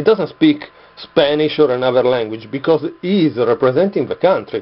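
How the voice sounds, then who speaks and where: A man speaks with an Italian accent at a moderate pace. His intonation is lively. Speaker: vlogger. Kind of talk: casual video monologue. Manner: halting, many fillers.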